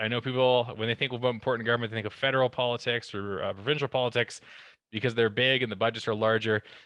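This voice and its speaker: Very fast delivery in a bright, sharp tone. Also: man. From Alberta, Canada. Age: 30s. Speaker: town councillor. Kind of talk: presentation.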